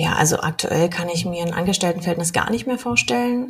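The woman's medium-pitched voice has a somewhat breathy quality. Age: 30s. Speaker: mortgage broker. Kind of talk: podcast interview.

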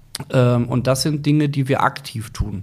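Against noticeable background noise, a man talks in a medium pitch with fairly even intonation. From Germany, Ruhr area (Gelsenkirchen). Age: 40s. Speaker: football club director. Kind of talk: interview.

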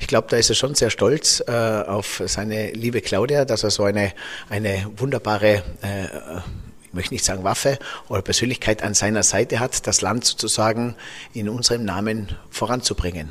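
This man has a fairly low pitch and a normal speaking voice. He talks at a moderate pace with ordinary pitch variation. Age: 40s. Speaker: podcast host. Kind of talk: interview. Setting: office.

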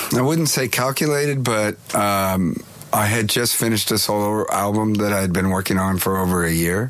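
With an American accent and a fairly low pitch, a man speaks over noticeable background noise. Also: ordinary pitch variation, moderate pace. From California. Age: 50s. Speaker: touring musician. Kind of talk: interview.

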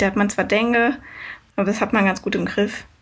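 A woman speaks at a very fast pace in a somewhat breathy voice. Her intonation is monotone and flat. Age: 20s. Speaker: long-distance cycle traveller. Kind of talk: casual interview.

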